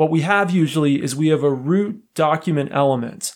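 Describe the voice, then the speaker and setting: In a very clean recording with a silent background, a man with a normal speaking voice talks at a moderate pace, his pitch fairly high with ordinary variation. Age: 30s. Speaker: podcast host explaining software. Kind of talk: educational explainer podcast.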